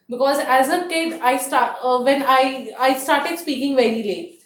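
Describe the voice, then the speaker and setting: A woman with an Indian accent speaks at a moderate pace in a high pitch, with ordinary pitch variation. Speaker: toastmasters meeting host. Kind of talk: public speaking at club meeting. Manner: halting.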